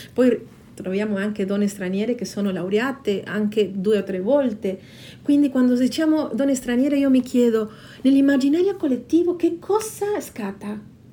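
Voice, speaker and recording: A woman with a Spanish accent, a high pitch and lively intonation at a moderate pace, amid noticeable background noise. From Patagonia, Argentina. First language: Spanish (speaking Italian). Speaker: intercultural educator and storyteller. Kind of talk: interview answers with stories read aloud. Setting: live event at a festival.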